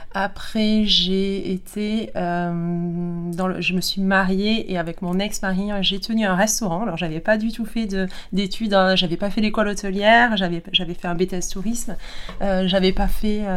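Fairly slow, fairly even speech from a woman at medium pitch, with audible room echo. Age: 40s. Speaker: kinesiologist. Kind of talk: interview testimony.

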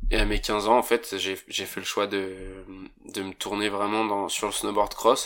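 Speaking at a fairly slow pace, a man is heard on a very clean recording with a silent background. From French Alps, Haute-Savoie. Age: 20s. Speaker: professional snowboarder. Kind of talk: interview. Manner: casual, hesitant with fillers.

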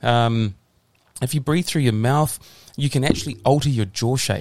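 Here a man with a New Zealand accent speaks at a medium pitch with ordinary pitch variation. His pace is moderate, on a very clean recording with a silent background. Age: 40s. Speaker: physiotherapist. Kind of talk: casual interview.

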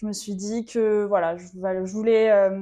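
Against a quiet background, a woman speaks in a monotone, flat intonation at a medium pitch with a dark, mellow tone. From western France (Vendée). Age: 20s. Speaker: swimwear brand founder. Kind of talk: casual interview. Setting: studio on a couch.

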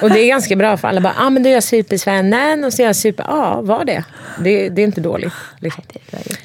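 Over noticeable background noise, a woman talks at a very fast pace with lively intonation and a medium pitch. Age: 40s. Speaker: podcast guest. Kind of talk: casual chat.

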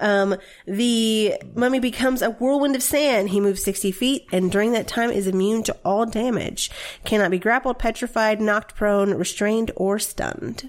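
With an American accent, a woman speaks at a moderate pace. Her loudness stays very even, with ordinary pitch variation. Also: fairly high pitch for a woman. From US South. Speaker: podcast co-host and dungeon master. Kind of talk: casual chat.

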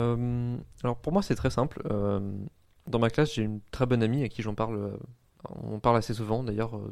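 A man at a medium pitch, with fairly even intonation and a fairly slow pace. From northern France (Oise, near Compiègne). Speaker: university student. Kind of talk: interview. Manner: halting.

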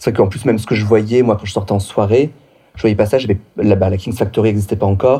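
A man with a dark, mellow tone and fairly low pitch speaks fairly quickly, somewhat breathy, with fairly even intonation. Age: 30s. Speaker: drag performer. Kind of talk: casual chat.

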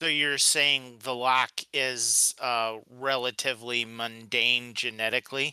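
Over a silent background in a very clean recording, a man talks at a medium pitch and a fairly slow pace, with a bright, sharp tone, monotone, flat intonation and a dry, close sound with no echo. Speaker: podcast co-host. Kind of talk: casual chat.

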